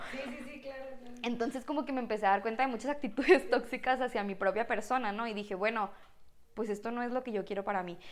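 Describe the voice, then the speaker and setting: A woman's very fast voice, fairly high in pitch, with big swings in loudness. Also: ordinary pitch variation. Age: 20s. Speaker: physiotherapist and church volunteer. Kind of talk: casual chat.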